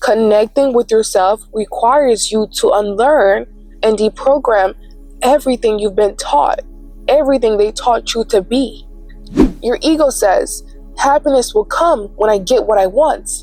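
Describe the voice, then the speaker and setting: With music in the background, a woman speaks at a fairly slow pace in a high pitch, using lively intonation and very even loudness. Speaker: spiritual content creator. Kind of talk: reflective spoken intro.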